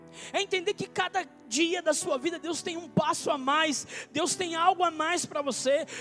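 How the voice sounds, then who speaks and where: A man speaks at an extremely high pitch with ordinary pitch variation. His pace is moderate. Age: 20s. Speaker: pastor. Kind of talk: sermon. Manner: animated.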